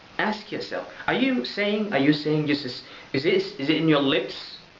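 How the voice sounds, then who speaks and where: With an Arabic accent, a man speaks at a fairly high pitch. Audible room echo and noticeable background noise surround him. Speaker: religious vlogger. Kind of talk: religious talk to camera. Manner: loud; halting.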